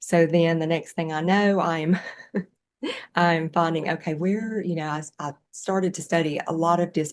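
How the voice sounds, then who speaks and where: A woman speaks in a Southern US accent. Her pace is moderate and her intonation fairly even. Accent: Southern US, noticeable. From US Southeast, rural farm. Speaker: yoga teacher and animal somatic educator. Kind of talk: interview conversation. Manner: halting, many fillers.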